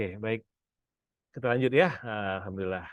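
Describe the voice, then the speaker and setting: This man's speech has ordinary pitch variation. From Pekanbaru, Sumatra, Indonesia. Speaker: business and finance coach. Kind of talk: seminar talk. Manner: casual, with frequent fillers.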